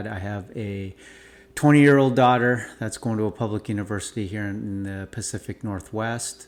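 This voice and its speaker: A man talks in a normal speaking voice with a fairly low pitch, fairly even intonation and a moderate pace. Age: 40s. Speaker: parent. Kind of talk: casual talk to camera. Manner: casual, with filler words.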